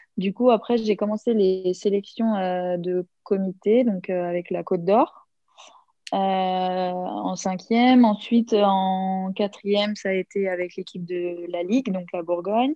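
Her pitch medium and her intonation fairly even, a woman talks at a very slow pace. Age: 20s. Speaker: handball player. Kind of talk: interview.

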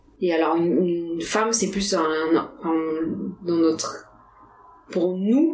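Noticeable background noise runs through the recording. A woman talks amid audible room echo. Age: 20s. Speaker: biology research engineer. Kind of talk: casual interview. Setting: Paris apartment. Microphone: poor sound quality.

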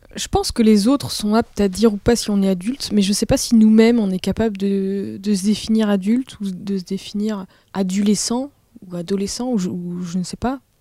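Somewhat breathy and dark, mellow in tone, a woman talks at a moderate pace with fairly even intonation. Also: medium pitch for a woman. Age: 20s. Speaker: audiovisual worker. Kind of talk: casual chat. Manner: halting.

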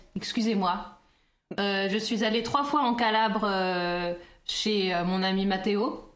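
At a very slow pace, a woman with medium pitch talks with ordinary pitch variation and very even loudness, with audible room echo. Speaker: podcast co-host. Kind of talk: casual chat.

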